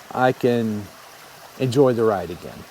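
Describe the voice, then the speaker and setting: A man speaks over noticeable background noise. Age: 60s. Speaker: motorcycle travel vlogger, retiree. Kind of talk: casual vlog monologue.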